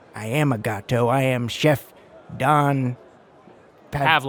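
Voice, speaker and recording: A man performs a put-on character voice. He speaks at a fairly slow pace with a medium pitch. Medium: actual play.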